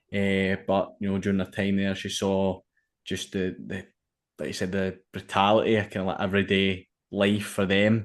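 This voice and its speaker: In a monotone, flat intonation, a man talks with a quiet background behind him. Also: fairly low pitch for a man, moderate pace. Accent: Glaswegian. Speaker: podcast host. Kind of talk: podcast interview.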